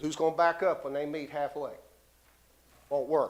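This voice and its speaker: This is a man with an East Tennessee accent. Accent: Southern US (East Tennessee). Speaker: local resident speaking at public hearing. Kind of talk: public comment at city meeting. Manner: fast.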